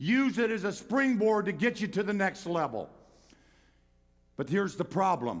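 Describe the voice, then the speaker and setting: Lively in intonation, a high-voiced man speaks with long, frequent pauses. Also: moderate pace. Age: 70s. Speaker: pastor. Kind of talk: sermon. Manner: animated.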